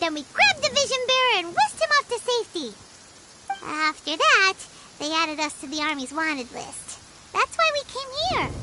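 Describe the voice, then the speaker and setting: Over loud background noise comes a squeaky, put-on character voice at an extremely high pitch. Its pitch swings very widely at a moderate pace. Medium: video game. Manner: indignant, chatty.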